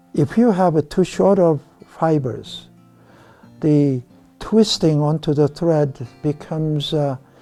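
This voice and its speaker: Over music in the background, the voice moves at a very slow pace with ordinary pitch variation. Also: man. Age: 70s. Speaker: fly tier. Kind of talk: tutorial demonstration. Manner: hesitant, many fillers.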